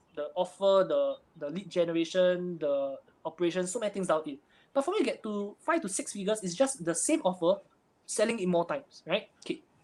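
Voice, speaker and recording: Lively in intonation, a man with a high pitch talks at a fairly quick pace. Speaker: online marketing entrepreneur. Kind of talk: interview. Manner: fast.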